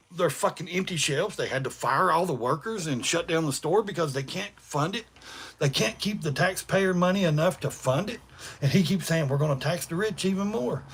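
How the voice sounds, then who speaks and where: The delivery is animated and fairly quick. It comes in an East Tennessee accent. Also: man, high pitch for a man, ordinary pitch variation. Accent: Southern US (East Tennessee). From US South. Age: 40s. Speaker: livestreamer. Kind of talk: casual chat. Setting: livestream. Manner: fast.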